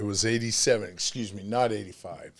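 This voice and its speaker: A man talks at a medium pitch. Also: very clean recording, silent background. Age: 60s. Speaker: channel host and ex-prisoner amateur boxer. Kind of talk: casual chat. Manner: animated; halting.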